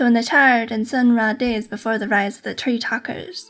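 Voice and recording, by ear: In a natural voice, a passage is read aloud with fairly even intonation.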